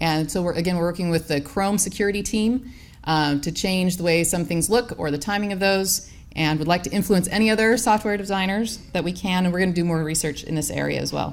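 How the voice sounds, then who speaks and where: Against audible room echo, a woman with a fairly low voice speaks at a fairly quick pace. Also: ordinary pitch variation. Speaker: professor. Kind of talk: conference talk. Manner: fast.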